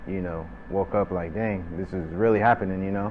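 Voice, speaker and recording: In a room with audible echo and noticeable background noise, a man speaks at a moderate pace in a very deep, low, monotone voice. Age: 30s. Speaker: restaurant manager. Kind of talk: interview testimony. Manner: casual, many fillers.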